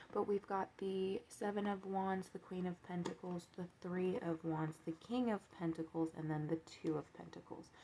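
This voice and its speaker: A woman speaks with fairly even intonation and hardly any pauses. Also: medium pitch for a woman. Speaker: tarot card reader. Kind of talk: tarot reading monologue. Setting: home, seated with coffee. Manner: fast.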